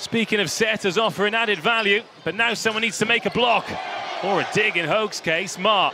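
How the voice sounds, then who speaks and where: A man's high-pitched, raised and projected voice at a moderate pace, enthusiastic in tone, over noticeable background noise. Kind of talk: live sports commentary. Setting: commentary booth over match broadcast. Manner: enthusiastic, gushing with praise.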